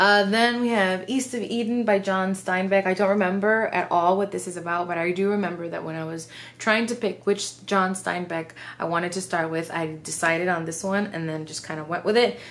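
A woman's voice at a fairly quick pace, with ordinary pitch variation. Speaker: book vlogger. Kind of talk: casual vlog chat. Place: home room.

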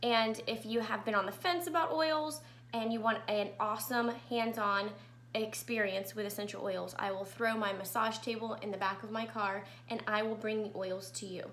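A woman talking at a moderate pace. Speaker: essential oil educator. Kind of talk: live class presentation. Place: home room. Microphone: webcam.

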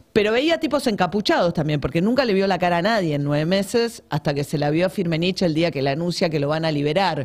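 The speaker goes at a very fast pace with hardly any pauses. The intonation is lively, over a quiet background. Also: woman, fairly low pitch for a woman. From Argentina. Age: 50s. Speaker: journalist and author; journalist. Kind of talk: interview about her book. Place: studio. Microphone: studio mic.

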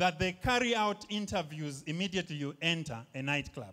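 The voice has a bright, sharp tone and moves at a moderate pace over a quiet background. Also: man. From Zambia. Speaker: stand-up comedian. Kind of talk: stand-up comedy set. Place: stage. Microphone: handheld.

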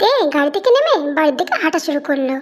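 A woman's put-on character voice, high-pitched and squeaky, with lively intonation and a fairly quick pace. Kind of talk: romantic fan fiction reading. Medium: read story.

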